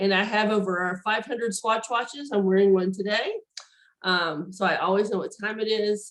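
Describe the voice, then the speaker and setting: Her pitch medium, a woman speaks at a moderate pace. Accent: American. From Tennessee. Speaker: neurologist. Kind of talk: lecture. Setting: video call. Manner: hesitant, many fillers.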